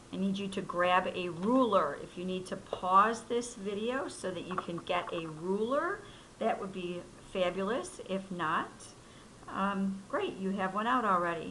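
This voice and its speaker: Noticeable background noise plus audible echo from the room. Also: woman, medium pitch for a woman, ordinary pitch variation, fairly slow pace. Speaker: math teacher. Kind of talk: tutorial.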